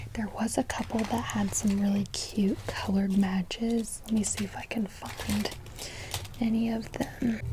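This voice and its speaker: Over noticeable background noise, a soft-spoken woman talks at a fairly slow pace in a monotone, flat intonation. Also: medium pitch for a woman. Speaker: ASMR creator. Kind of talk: ASMR talk to camera.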